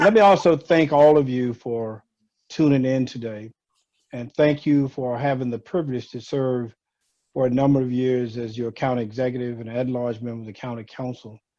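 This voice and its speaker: With big swings in loudness, a man with a dark, mellow tone talks at a moderate pace, medium pitch and fairly even intonation. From Louisiana. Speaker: retired county executive and former law professor. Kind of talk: community talk on video call. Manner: warm, friendly; frequent 'uh' fillers.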